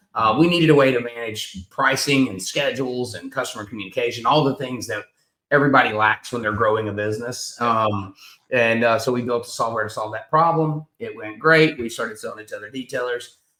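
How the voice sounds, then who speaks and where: Here a man talks at a fairly quick pace in a bright, sharp tone. His loudness swings widely while his pitch varies in an ordinary way. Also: medium pitch for a man. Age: 40s. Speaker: business owner, detailer. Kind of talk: casual chat.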